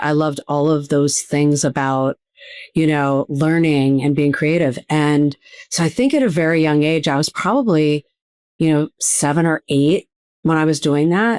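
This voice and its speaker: A woman's very deep, low voice in a Midwestern American accent, at a moderate pace, with fairly even intonation and a dry, close sound with no echo. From US Midwest, Cleveland, Ohio. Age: 60s. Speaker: TV producer and speaker. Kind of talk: podcast interview.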